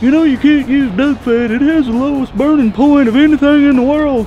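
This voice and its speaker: Over clear background noise, a man does a put-on character voice at an extremely high pitch and a fairly quick pace. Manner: mocking; pedantic, know-it-all.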